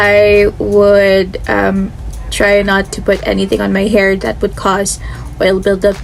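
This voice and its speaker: Music can be heard behind the speaker. She is a woman, and her delivery is very slow. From Philippines. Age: 20s. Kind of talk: casual talk to camera.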